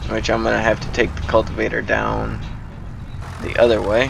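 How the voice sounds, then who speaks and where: A man talks with audible room echo around him. Noticeable background noise runs underneath. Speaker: gaming YouTuber. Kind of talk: gameplay commentary. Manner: casual, hesitant with fillers.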